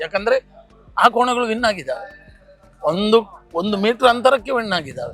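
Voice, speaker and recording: Music plays in the background as a man speaks at an extremely high pitch with ordinary pitch variation. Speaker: buffalo race commentator. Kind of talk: interview answer.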